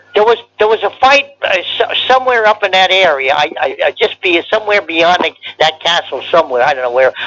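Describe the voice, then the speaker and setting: This man has a high pitch and an American accent, talking at a fairly quick pace. His raised, projected voice makes very wide pitch swings. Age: 90s. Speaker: war veteran. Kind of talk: oral history interview. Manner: halting, repetitive.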